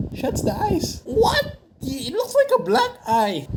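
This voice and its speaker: This is a man speaking. Noticeable background noise can be heard. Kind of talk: comedic makeup video voiceover. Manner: joking, teasing.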